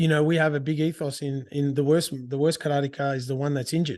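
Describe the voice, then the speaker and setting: A man with an Australian accent speaks with a fairly high pitch and fairly even intonation against a quiet background. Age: 40s. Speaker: karate teacher and podcast host. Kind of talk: casual monologue. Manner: halting, many restarts.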